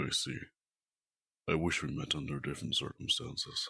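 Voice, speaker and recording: A man performs a put-on character voice. He speaks at a moderate pace. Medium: audio drama. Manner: formal, measured.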